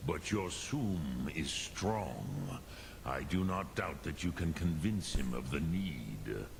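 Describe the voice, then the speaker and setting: Over loud background noise, a man uses a put-on character voice with a very deep, low pitch at a fairly slow pace. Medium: video game. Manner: slow, solemn, measured.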